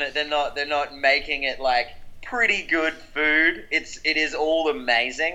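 In an Australian accent, a man talks at a fairly slow pace. His tone is bright and sharp, at a fairly high pitch. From South Australia, Adelaide. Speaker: rock musician. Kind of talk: interview.

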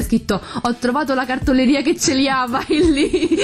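Noticeable background noise is present. A woman talks at a fairly quick pace. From Campania, Italy (Pomigliano d'Arco area). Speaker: beauty salon owner, podcast co-host. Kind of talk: casual chat.

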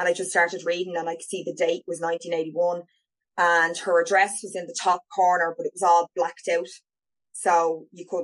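A fairly quick woman's voice with an Irish accent, fairly low in pitch, dry and close with no echo. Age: 40s. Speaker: adoptee sharing her story. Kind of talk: casual interview.

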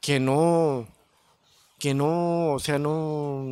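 The man's voice has a fairly high pitch. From Chicago North Side. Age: 30s. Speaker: banda musician. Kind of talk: casual chat.

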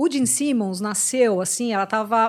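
On a very clean recording with a silent background, a woman with a normal speaking voice talks at a moderate pace in a medium pitch, her intonation lively. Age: 40s. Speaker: rock radio host and music journalist. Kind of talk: casual chat.

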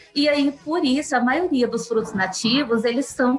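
With noticeable background noise behind her, a woman talks at a moderate pace in a high pitch with ordinary pitch variation. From southern Minas Gerais, Brazil. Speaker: nutrition professor. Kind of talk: interview.

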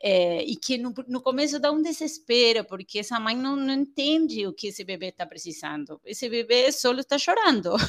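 A woman's high voice with an Argentine accent, very wide pitch swings and hardly any pauses. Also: moderate pace. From Argentina. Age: 40s. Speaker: pediatrician and parenting educator. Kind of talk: interview.

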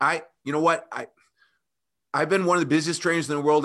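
Recorded very cleanly against a silent background, a man with an American accent speaks in a bright, sharp tone. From US Midwest (rural Illinois, near Kankakee). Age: 50s. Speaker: personal trainer. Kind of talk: interview. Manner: animated.

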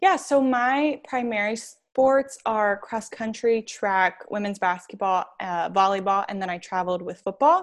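A woman's normal speaking voice with an American accent, fairly high pitch, lively intonation, a moderate pace, hardly any pauses and a quiet background. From New York. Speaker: athletic communications graduate assistant. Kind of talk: interview.

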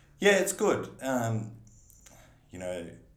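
Audible room echo surrounds a man speaking with an Australian accent. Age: 30s. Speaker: business owner and council candidate. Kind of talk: casual interview.

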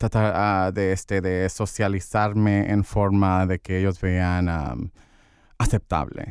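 A man speaks at a very slow pace with a very deep, low pitch. The recording is very clean, with a silent background. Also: fairly even intonation. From Santa Ana, Orange County, California. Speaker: LGBTQ community organizer. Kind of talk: interview. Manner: halting, many fillers.

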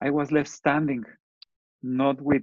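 This man has a fairly high pitch and speaks with a Spanish accent. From Mexico. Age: 50s. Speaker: entrepreneur and engineer. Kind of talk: interview.

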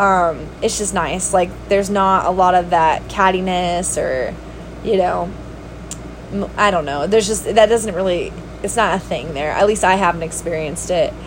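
The speech moves at a moderate pace. There is audible room echo along with noticeable background noise. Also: woman, medium pitch for a woman, fairly even intonation. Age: 30s. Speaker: podcast host and substitute teacher. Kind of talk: casual monologue. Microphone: no microphone, basic built-in recording.

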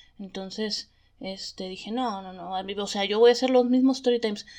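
A woman with an unremarkable speaking voice keeps a moderate pace, a fairly high pitch, and fairly even intonation. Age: 30s. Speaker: podcast host. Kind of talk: casual storytelling monologue.

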